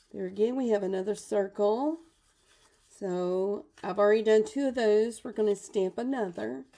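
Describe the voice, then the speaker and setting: Heard at a moderate pace with ordinary pitch variation, it is an ordinary speaking voice in a very clean recording with a silent background. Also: woman, medium pitch for a woman. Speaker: papercraft demonstrator. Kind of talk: live craft tutorial. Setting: live video stream at home.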